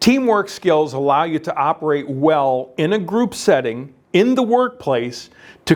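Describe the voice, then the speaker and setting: Against a very clean recording with a silent background, a man speaks loud and fairly slowly at a fairly high pitch with very wide pitch swings. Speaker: career navigator, workshop facilitator. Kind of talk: workshop lecture. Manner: hesitant fillers.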